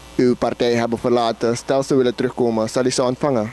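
Man's medium-pitched voice in a monotone, flat intonation. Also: dry sound with no echo. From Suriname. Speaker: interviewer. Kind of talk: interview. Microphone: handheld.

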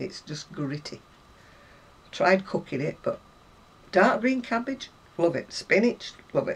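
A woman with a British accent speaks at a medium pitch and a fairly slow pace. Her pitch swings very widely, and she takes long, frequent pauses. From UK. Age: 70s. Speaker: crafter; crochet vlogger. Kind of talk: casual chat. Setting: home. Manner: chatty. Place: home room. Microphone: camera far.

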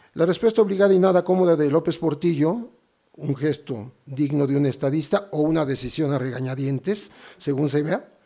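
A dark, mellow tone at a moderate pace, with ordinary pitch variation over a quiet background. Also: man. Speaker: journalist. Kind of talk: formal lecture.

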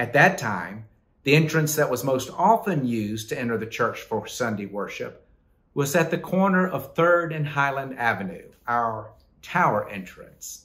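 This man's pitch swings very widely. Still, he keeps a moderate pace. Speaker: pastor. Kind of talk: devotional reflection. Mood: warm, smiling. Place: office. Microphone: phone near.

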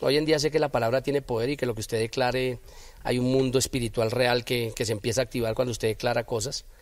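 A man talks at a fairly quick pace and a medium pitch. His is an ordinary speaking voice. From Bogotá, Colombia. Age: 40s. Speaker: former footballer and football coach. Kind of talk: interview.

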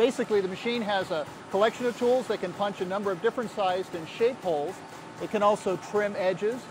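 Over noticeable background noise, a man speaks at a fairly quick pace with ordinary pitch variation, in a dry sound with no echo. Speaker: magazine editor on a factory tour. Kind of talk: on-site report commentary. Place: factory. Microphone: lapel.

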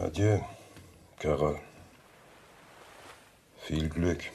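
A man puts on a character voice, extremely low-pitched with a dark, mellow tone and vocal fry, speaking very slowly with fairly even intonation over audible room echo.

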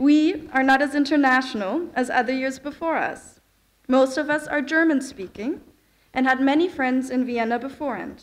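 A woman speaks in a high voice. Her pitch varies in an ordinary way. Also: moderate pace. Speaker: speaker. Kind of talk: ceremonial speech. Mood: formal, warm. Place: hall. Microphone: podium.

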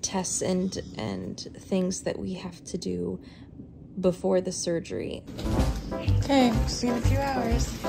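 With clear music playing in the background, a woman speaks at a very slow pace. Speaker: parent vlogger. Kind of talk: casual vlog chat. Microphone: phone near.

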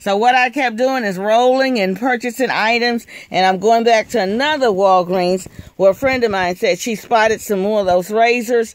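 The speech moves at a moderate pace, with a dry sound and no echo. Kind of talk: casual haul vlog narration. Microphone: phone near.

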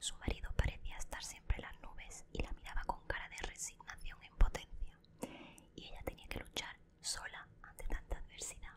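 A woman whispering at a moderate pace. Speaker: ASMR creator playing a best friend. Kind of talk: whispered reading aloud from a self-help book. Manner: whispered, soft. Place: home room. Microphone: studio mic.

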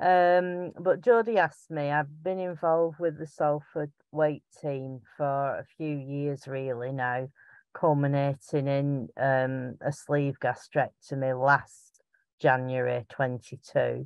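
A woman speaks slowly with a strong Lancashire accent, her extremely low pitch carrying a clear, smooth tone that is slightly mellow, and her intonation fairly even. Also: dry, close sound with no echo. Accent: strong Bolton, Lancashire.

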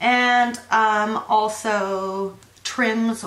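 Audible room echo surrounds a woman speaking with ordinary pitch variation. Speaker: vlogger. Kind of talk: casual vlog chat. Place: home room. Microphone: phone near.

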